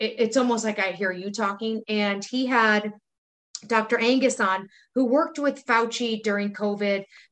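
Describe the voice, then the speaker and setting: With an American accent, a woman talks in a plain, everyday voice at a fairly slow pace, her fairly high pitch carrying fairly even intonation. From US Midwest, Wisconsin. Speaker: podcast co-host. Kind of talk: casual chat.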